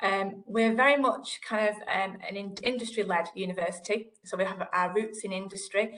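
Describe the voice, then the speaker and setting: A woman talks with a northern English accent at a moderate pace, with hardly any pauses. Her intonation is fairly even, and the background is quiet. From northern England. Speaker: digital library manager; panelist. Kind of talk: panel discussion. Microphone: video call.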